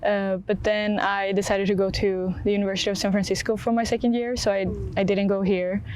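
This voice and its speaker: Talking at a fairly quick pace, a woman keeps to a medium pitch. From Sweden. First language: Swedish. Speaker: college athlete. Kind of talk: interview. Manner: hesitant, many fillers.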